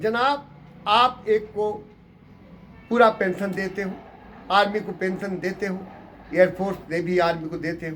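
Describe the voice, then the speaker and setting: A man with a high pitch and fairly even intonation speaks with big swings in loudness and long, frequent pauses over noticeable background noise. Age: 80s+. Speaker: retired paramilitary officer. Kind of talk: interview monologue. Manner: impassioned, rhetorical.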